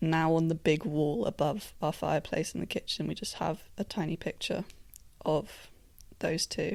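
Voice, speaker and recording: A British accent comes through at a fairly slow pace. The recording is very clean, with a silent background. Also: woman. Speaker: podcast host. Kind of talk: casual chat. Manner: animated.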